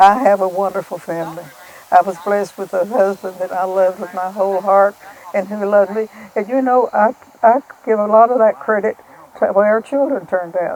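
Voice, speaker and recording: Noticeable background noise sits behind a woman with an Appalachian accent. Her pitch is medium with ordinary variation, and she talks at a fairly quick pace. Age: 80s+. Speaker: farmer's mother, widow. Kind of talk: interview testimony.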